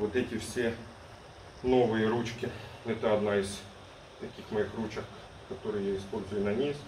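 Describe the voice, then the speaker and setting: A man at a fairly low pitch, with audible room echo and light background noise. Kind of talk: casual vlog chat. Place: gym. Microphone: phone near.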